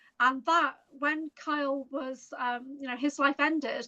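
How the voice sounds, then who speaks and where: Raising and projecting her voice, a woman with a high pitch and a bright, sharp tone speaks at a fairly slow pace. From America and Toronto. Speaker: interview guest. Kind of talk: casual interview chat.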